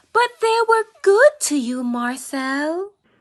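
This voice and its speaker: A put-on, squeaky character voice at a very slow pace, with very wide pitch swings and a dry, close sound with no echo. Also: woman, high pitch for a woman. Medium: stage play. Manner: hesitant, faltering.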